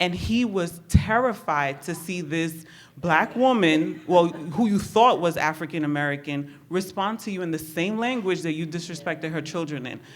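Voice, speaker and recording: A woman with a fairly low voice, ordinary pitch variation and hardly any pauses. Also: moderate pace. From New York City (Bronx), Honduran Garifuna family. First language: Spanish. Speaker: therapist. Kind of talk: personal testimony. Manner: casual, many fillers.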